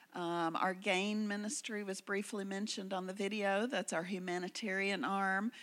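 On a very clean recording with a silent background, a woman with a Southern US accent speaks at a medium pitch and a moderate pace, with fairly even intonation and hardly any pauses. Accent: US South. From Memphis, Tennessee. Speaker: missionary. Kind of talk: missionary testimony to congregation. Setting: church service.

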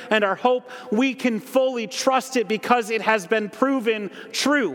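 With an American accent and an extremely high pitch, a man speaks at a fairly slow pace over noticeable background noise. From Holland, Michigan. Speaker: ministry director and guest preacher. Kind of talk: sermon. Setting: church.

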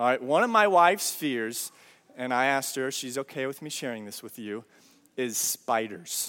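With an animated tone, a man speaks at a moderate pace. His pitch swings very widely. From Brazil. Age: 30s. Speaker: pastor. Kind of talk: sermon.

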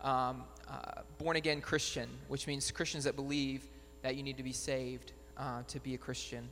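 Over music in the background, a man with a fairly high pitch speaks in a monotone, flat intonation at a moderate pace. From Batesville. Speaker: missionary. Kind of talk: church presentation.

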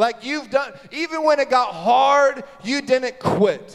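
There's an animated tone to this man's speech, which has ordinary pitch variation. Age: 30s. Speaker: pastor. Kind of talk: sermon.

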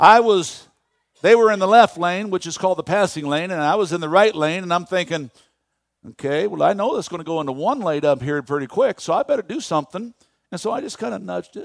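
The voice is animated, with lively intonation at a very fast pace. The sound is dry and close, with no echo. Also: man, high pitch for a man. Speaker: pastor. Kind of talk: sermon, rapid-fire rhetorical questions to the congregation. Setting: church pulpit with live congregation. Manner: animated, punchy call-and-response preaching; folksy, self-deprecating asides mid-sermon.

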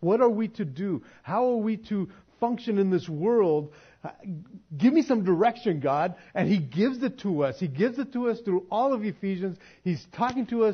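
The speaker uses an animated tone and lively intonation. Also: man, high pitch for a man, moderate pace. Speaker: pastor. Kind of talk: sermon.

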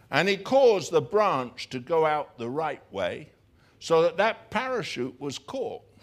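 A man with an English accent, high-pitched, at a fairly slow pace, with very wide pitch swings. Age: 60s. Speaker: pastor. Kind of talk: sermon. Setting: church. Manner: halting.

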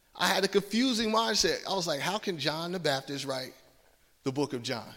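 Lively intonation at a moderate pace, in a slight Southern US accent. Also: man. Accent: slight Southern twang. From US South, Georgia. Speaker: preacher. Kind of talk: sermon.

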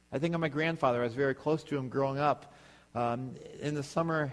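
Here a man with an ordinary speaking voice and fairly high pitch moves at a fairly quick pace with fairly even intonation. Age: 30s. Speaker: pastor. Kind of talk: sermon.

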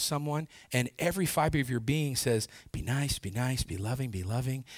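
In a very clean recording with a silent background, a man with a normal speaking voice talks at a medium pitch and a fairly quick pace, his pitch varying in an ordinary way. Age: 40s. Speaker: pastor. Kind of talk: sermon.

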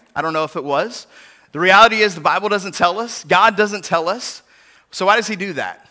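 The voice is raised and projected, with a bright, sharp tone, ordinary pitch variation and a fairly quick pace. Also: man, high pitch for a man. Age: 40s. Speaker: pastor. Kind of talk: sermon.

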